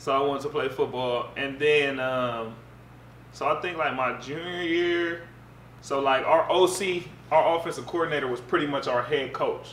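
Over light background noise and audible room echo, a man speaks in a relaxed tone at a moderate pace with ordinary pitch variation. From Pasadena, Los Angeles area; California. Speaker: former college football player; interview guest. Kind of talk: casual interview. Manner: relaxed, conversational. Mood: calm, reflective storytelling. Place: home room.

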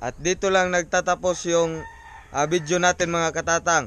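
The sound is dry with no echo as a man talks at a moderate pace. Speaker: fishing vlogger. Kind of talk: casual vlog chat. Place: garden. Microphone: phone near.

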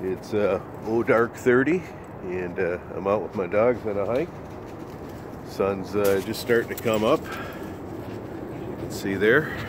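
A man talks at a very slow pace with a fairly low pitch and ordinary pitch variation. The sound is dry with no echo, and there is noticeable background noise. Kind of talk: casual vlog chat. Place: forest. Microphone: phone near.

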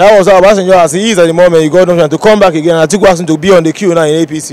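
A man speaks at a high pitch with ordinary pitch variation. The sound is dry, with no echo. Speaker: interviewee. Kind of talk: interview answer. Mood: frustrated, earnest. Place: street. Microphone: handheld.

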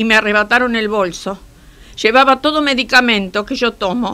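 A woman's bright, sharp voice, fairly high in pitch, at a moderate pace with ordinary pitch variation. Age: 70s. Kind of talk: interview answer. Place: studio.

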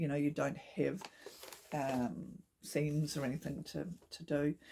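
A woman with a New Zealand accent speaks at a fairly slow pace in a dark, mellow, somewhat breathy tone. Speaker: knitting podcaster. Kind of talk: casual talk to camera. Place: home room. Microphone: phone near.

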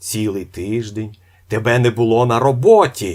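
In a very clean recording with a silent background, a man uses a put-on character voice. He talks at a moderate pace and medium pitch with ordinary pitch variation. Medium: read story. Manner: loud, bossy.

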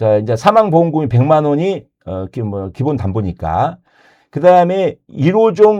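Very slow male speech, dark and mellow in tone, medium in pitch, with very wide pitch swings against a quiet background. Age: 60s. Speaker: insurance agent. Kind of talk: casual chat.

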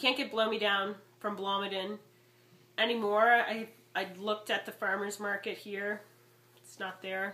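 Over noticeable background noise, a woman with a medium pitch talks at a moderate pace in a monotone, flat intonation, leaving long, frequent pauses. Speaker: wine vlogger. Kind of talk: casual product review vlog. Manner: chatty, frequent um fillers.

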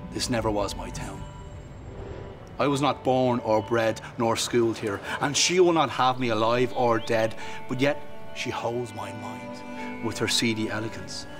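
A man with a Dublin accent at medium pitch, speaking at a fairly slow pace with ordinary pitch variation and music in the background. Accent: Dublin Irish. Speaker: slam poet. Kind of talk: poetry reading.

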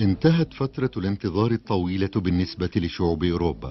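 A man's very deep, low voice with a calm, soothing tone, very wide pitch swings and a moderate pace, with music in the background. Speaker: voice-over narrator. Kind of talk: documentary narration.

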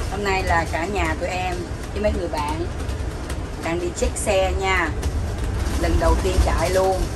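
Over loud background noise, the speech moves at a very slow pace. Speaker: vlogger filming the trip. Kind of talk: casual vlog chat. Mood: cheerful, joking, laughing. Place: car. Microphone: phone near.

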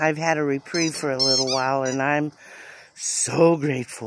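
A woman speaks at a moderate pace with ordinary pitch variation, the sound dry with no echo and noticeable background noise behind her. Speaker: vlogger. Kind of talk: casual vlog chat. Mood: reflective, a bit weary. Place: garden. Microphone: phone near.

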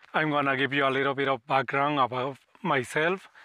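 A man's fairly high voice with a Spanish accent, bright, sharp tone and dry sound with no echo. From Mexico City, Mexico; Mexico. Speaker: wildlife photographer and video creator; wildlife channel creator. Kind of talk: casual self-introduction to camera. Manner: halting, many fillers. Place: open country.

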